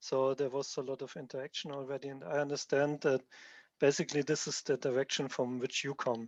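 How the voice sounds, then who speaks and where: A man speaks with a strong German accent at a fairly quick pace. His pitch is fairly high and his intonation monotone and flat. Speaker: software developer presenting his tool. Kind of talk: technical presentation.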